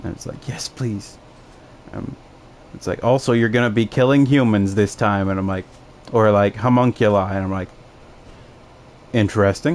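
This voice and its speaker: Against noticeable background noise, a man with an American accent and a fairly low pitch speaks at a moderate pace with ordinary pitch variation and long, frequent pauses. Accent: Chicago accent noted by others. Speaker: gaming streamer. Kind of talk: casual chat while gaming. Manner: animated.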